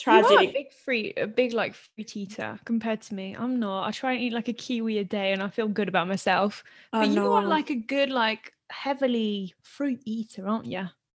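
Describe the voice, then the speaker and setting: Speaking at a moderate pace with hardly any pauses, a woman with a British accent uses a fairly high pitch and ordinary pitch variation. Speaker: podcast co-host. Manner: casual, chatty.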